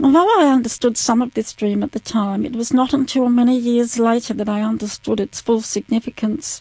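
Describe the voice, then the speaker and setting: Fairly high-pitched female speech in an Australian accent, dark and mellow in tone, fairly even in intonation, with hardly any pauses and a dry, close sound with no echo. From South Australia, Adelaide. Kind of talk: testimony, read from prepared text.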